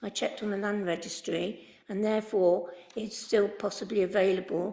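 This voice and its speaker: In a West Midlands accent, a woman speaks at a medium pitch. Her pace is moderate and her intonation fairly even. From English Midlands, Worcester. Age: 80s+. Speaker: member of the public objecting to a planning application. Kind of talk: public statement at council meeting. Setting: council committee meeting. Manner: hesitant, many fillers.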